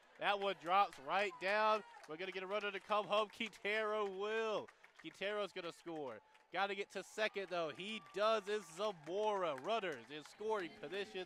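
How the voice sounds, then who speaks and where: A man projects a raised voice at a high pitch and a moderate pace. His pitch varies in an ordinary way against noticeable background noise. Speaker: college radio play-by-play announcer. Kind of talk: live commentary. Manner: animated.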